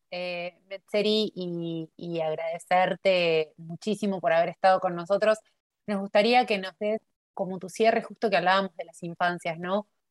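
A woman's normal speaking voice at medium pitch, with ordinary pitch variation and a dry, close sound with no echo. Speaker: podcast host, academic observatory coordinator. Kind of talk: interview.

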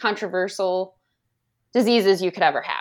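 Recorded very cleanly with a silent background, a woman with an American accent speaks at a medium pitch with ordinary pitch variation. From Indiana, US Midwest. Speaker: elementary school teacher, former wildlife biologist. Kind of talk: personal testimony.

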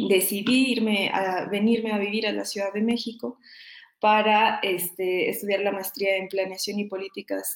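Her pace moderate and her intonation fairly even, a woman speaks at a medium pitch. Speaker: doctoral researcher in environmental studies. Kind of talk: interview. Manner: halting, many fillers; passionate.

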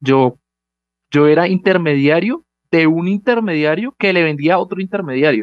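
Lively intonation marks this man's fairly high-pitched voice, a plain, everyday voice. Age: young. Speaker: startup founder. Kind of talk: interview.

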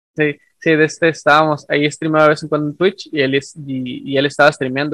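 A man talks very fast at a fairly high pitch, his intonation flat and monotone. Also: hardly any pauses. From northern Mexico. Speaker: podcast host, science communicator. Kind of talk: casual chat.

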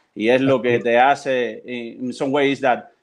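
A man talks with a Spanish accent. His pitch is medium. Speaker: religious practitioner and translator. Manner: halting.

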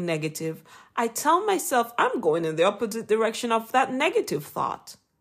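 In a very clean recording with a silent background, a speaker with a Jamaican accent makes very wide pitch swings. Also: woman. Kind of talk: inspirational devotional talk. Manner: formal, earnest, encouraging.

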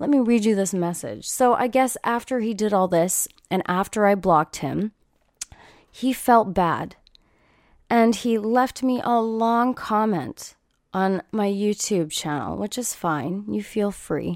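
A woman talks at a fairly slow pace in an animated tone, her medium pitch varying in an ordinary way. The recording is very clean, with a silent background. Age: 30s. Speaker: podcaster and streamer. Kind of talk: casual chat. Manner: casual, profane, animated.

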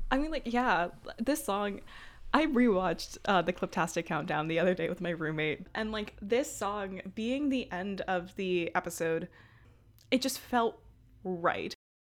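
An ordinary speaking voice: a woman with an American accent, medium pitch, lively intonation, fairly slow pace, very clean recording with a silent background. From Brooklyn, New York. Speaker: podcast co-host. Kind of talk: casual chat.

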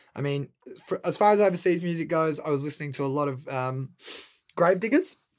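The speaker talks at a very fast pace with an Australian accent. Pitch varies in an ordinary way. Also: man, fairly high pitch for a man. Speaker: rapper. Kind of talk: casual interview. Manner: animated.

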